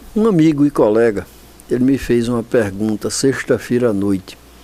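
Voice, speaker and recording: Lively intonation marks this man's fairly slow delivery. Noticeable background noise can be heard. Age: 70s. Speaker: infectious disease doctor. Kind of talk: TV interview. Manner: halting, with repetitions.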